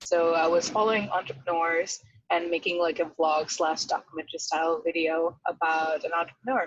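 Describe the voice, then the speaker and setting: A woman with a non-native accent speaks at a fairly quick pace in a fairly low pitch. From outside the US, moved to America at 13. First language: not English. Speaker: venture capital associate. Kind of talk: podcast interview.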